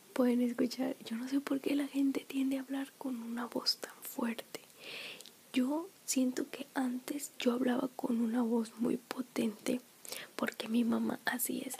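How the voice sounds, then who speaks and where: Soft-spoken delivery at a fairly slow pace with fairly even intonation. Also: woman, high pitch for a woman. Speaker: ASMR creator. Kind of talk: soft spoken casual vlog chat. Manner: soft-spoken, close-mic ASMR voice. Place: home room. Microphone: studio mic.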